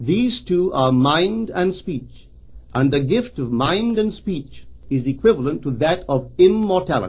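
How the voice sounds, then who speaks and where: A man with a plain, everyday voice, fairly high pitch and lively intonation. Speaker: metaphysical lecturer. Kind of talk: recorded spiritual lecture.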